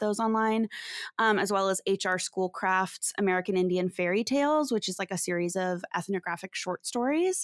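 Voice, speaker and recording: In a very clean recording with a silent background and a dry, close sound with no echo, a woman of medium pitch talks at a moderate pace with ordinary pitch variation in an unremarkable speaking voice. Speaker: podcast co-host. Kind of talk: casual chat podcast.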